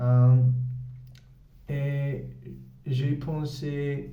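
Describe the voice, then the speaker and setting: The speaker has a Spanish-speaking accent. Audible room echo surrounds the voice. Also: man. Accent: Spanish-speaking learner's French. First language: Spanish (speaking French). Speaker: English teacher and language learner. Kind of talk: language-learning vlog. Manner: halting, many hesitations.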